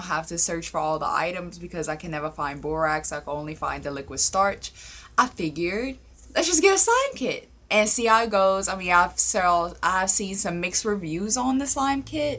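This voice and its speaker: A woman speaks at a medium pitch with a bright, sharp tone. Her intonation is lively. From Louisiana. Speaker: paranormal story YouTuber. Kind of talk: casual vlog chat. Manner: animated.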